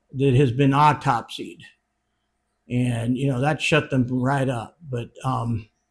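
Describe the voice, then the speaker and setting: Fairly slow, somewhat breathy speech from a man. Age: 60s. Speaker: retired funeral director. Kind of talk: casual monologue. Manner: hesitant, many fillers.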